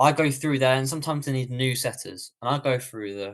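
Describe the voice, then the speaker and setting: A man talks at a fairly quick pace with a British accent. His pitch is medium, his intonation fairly even, and the background quiet. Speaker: online business coach. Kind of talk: live webinar Q&A. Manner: fast.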